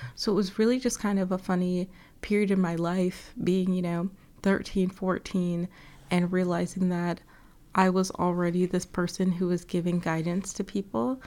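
With an American accent and a dark, mellow tone, a woman keeps her loudness very even in a very clean recording with a silent background. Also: medium pitch for a woman, moderate pace. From US South, Atlanta. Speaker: podcast host, life coach. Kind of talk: solo monologue. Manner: animated.

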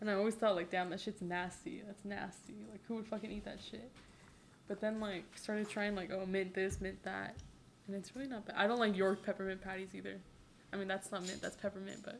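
This woman talks at a fairly quick pace with a medium pitch and fairly even intonation. She has an unremarkable speaking voice. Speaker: guest. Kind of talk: casual chat. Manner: laughing, casual.

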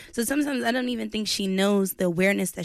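A woman with a plain, everyday voice and lively intonation speaks over a silent background in a very clean recording. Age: young. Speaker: podcast co-host and musician. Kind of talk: casual interview. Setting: studio.

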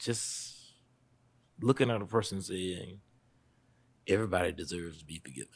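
A man with a Southern US accent speaks at a fairly quick pace in a very deep, low voice, with ordinary pitch variation and big swings in loudness. Long pauses come often, and the recording is very clean with a silent background. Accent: Southern US (Georgia). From US South, Statesboro, Georgia. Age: 40s. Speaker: pastor. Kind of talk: interview conversation.

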